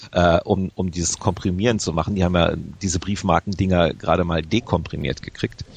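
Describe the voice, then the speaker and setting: A man talks at a very fast pace. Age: 40s. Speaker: video game magazine editor. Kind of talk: interview.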